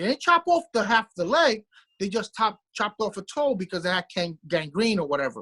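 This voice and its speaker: A man with a Brooklyn accent talks fairly quickly in a raised, projected voice that is high-pitched for him, bright and sharp in tone, with a dry, close sound and no echo. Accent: New York (Brooklyn). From New York City, Brooklyn. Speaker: podcast co-host. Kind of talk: casual chat. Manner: halting, repeats words.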